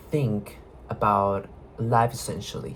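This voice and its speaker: There is noticeable background noise. A man with a non-native accent speaks at a fairly slow pace. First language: not English. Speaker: video blogger. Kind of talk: casual monologue. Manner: halting.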